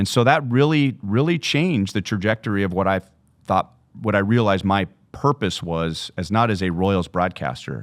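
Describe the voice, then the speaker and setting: A man with fairly low pitch uses an ordinary speaking voice, lively intonation and a moderate pace. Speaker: baseball play-by-play broadcaster. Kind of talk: podcast interview answer.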